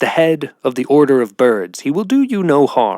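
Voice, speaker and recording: Using a put-on character voice, a man speaks at a fairly high pitch and a moderate pace. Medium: read story. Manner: warm, encouraging.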